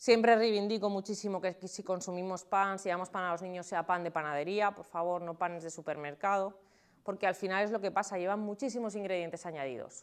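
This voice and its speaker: Over a quiet background, a woman speaks at a fairly quick pace. Her pitch is medium and her intonation fairly even. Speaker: nutritionist. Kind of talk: talk to an audience. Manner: fast.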